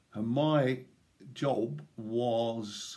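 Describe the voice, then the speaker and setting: With an East Midlands accent, a man at medium pitch swings his pitch very widely. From England, East Midlands (Nottinghamshire). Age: 60s. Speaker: retired police officer and swimming club chairman. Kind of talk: personal reminiscence. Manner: casual with filler hesitations.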